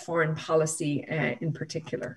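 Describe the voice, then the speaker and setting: With a Northern Irish accent, a woman talks at a moderate pace against a quiet background. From Northern Ireland. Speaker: law professor and human rights lawyer. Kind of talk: panel discussion. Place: home room. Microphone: video call.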